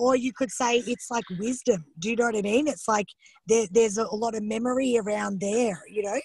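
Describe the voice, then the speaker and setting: Here a woman talks with a fairly high pitch. Her intonation stays fairly even. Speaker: psychosomatics teacher. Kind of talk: teaching a study group. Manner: fast.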